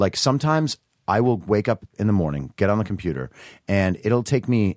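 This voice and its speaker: This man's voice is husky and fairly low-pitched. The recording is very clean, with a silent background. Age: 30s. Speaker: writer and party promoter. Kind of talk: casual chat.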